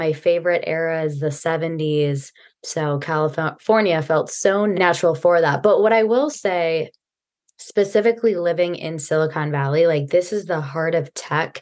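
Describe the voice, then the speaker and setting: In a plain, everyday voice, a woman with an American accent speaks at a fairly low pitch and a moderate pace, with ordinary pitch variation. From US Midwest. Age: young. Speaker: personal and wardrobe stylist. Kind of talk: podcast interview.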